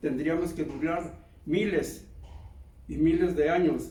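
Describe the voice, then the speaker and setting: Slowly, at a very slow pace, a man with a high pitch and a dark, mellow tone speaks amid audible room echo. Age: 80s+. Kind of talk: sermon. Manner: halting.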